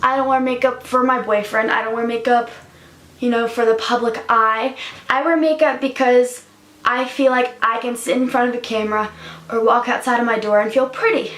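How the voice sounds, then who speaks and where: A woman speaks in a high pitch with monotone, flat intonation. Noticeable background noise runs under her voice. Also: moderate pace. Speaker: YouTuber. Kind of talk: personal vlog confession. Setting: home, in front of a camera. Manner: hesitant, many fillers.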